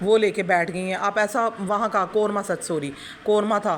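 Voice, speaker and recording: Moderate pace with noticeable background noise. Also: woman. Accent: Punjabi. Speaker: YouTube reaction commentator. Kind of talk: critical reaction commentary. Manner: animated.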